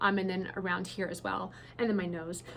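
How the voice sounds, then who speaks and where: Fairly quick speech from a woman with an American accent. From New Zealand. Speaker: beauty brand founder. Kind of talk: casual Q&A to camera. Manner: casual, many fillers and repetitions.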